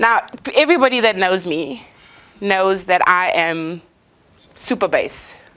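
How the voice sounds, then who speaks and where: A woman's loud, animated voice at medium pitch and a fairly slow pace. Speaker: motivational speaker. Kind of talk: inspirational talk.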